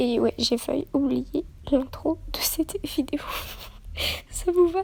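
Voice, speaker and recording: A soft-spoken woman with a high voice talks at a very slow pace, her pitch varying in an ordinary way over noticeable background noise. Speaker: youtuber. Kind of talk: casual vlog intro.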